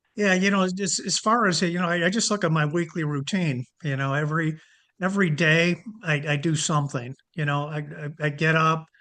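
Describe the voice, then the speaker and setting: This man's voice has a bright, sharp tone. His pitch is fairly high. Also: ordinary pitch variation, moderate pace. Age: 70s. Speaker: fitness program member. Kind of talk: casual interview. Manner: halting, many fillers and repetitions.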